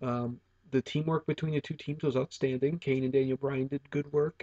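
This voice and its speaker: Soft-spoken and somewhat breathy, a man with a fairly high pitch talks at a moderate pace with fairly even intonation in a dry, close sound with no echo. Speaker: wrestling video reviewer. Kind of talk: casual monologue review. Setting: at home. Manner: hesitant with fillers.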